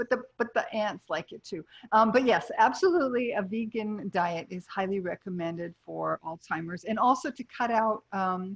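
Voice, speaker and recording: A woman talks at a moderate pace in a fairly high, somewhat breathy voice with lively intonation, hardly any pauses and big swings in loudness, in a dry, close sound with no echo. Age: 60s. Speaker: nutritionist and health coach. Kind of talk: casual interview chat.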